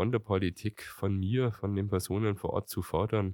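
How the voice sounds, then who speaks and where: On a very clean recording with a silent background, a man's fairly low voice sounds dry and close with no echo. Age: 40s. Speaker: mayor. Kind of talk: interview. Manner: halting.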